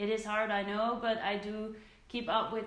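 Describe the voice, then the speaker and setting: A Dutch accent comes through with audible room echo and noticeable background noise. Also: woman. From southern Netherlands. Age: 20s. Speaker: beauty vlogger. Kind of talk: casual Q&A vlog.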